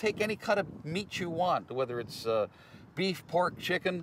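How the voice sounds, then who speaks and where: At a moderate pace, a man with an unremarkable speaking voice talks using lively intonation. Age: 60s. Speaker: poultry processor. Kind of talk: interview testimony.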